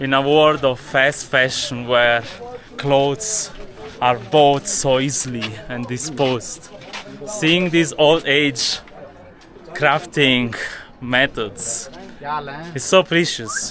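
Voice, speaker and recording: A man speaks at a very slow pace with long, frequent pauses and ordinary pitch variation over noticeable background noise. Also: fairly high pitch for a man. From Italy. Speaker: travel and spirituality vlogger. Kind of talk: travel vlog narration. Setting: outdoors in a Himalayan village.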